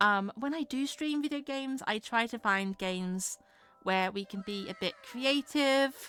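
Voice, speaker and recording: A woman's bright, sharp tone in a dry, close sound with no echo. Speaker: streamer and freelance artist. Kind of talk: casual livestream chat. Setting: livestream. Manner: hesitant, filler-heavy.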